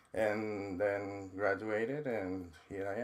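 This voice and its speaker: Intonation stays fairly even in this voice with a Mexican accent. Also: man. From Mexico. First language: Spanish. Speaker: trauma counselor and university dean. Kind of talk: podcast interview.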